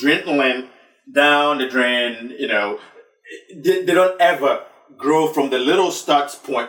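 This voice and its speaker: With a Ghanaian accent, a man speaks at a fairly slow pace and a fairly high pitch. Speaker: talk show host. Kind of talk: discussion show. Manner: halting.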